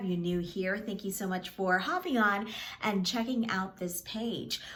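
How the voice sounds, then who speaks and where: Here a woman is speaking. Room echo is audible. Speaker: media coach. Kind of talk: tutorial. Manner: fast.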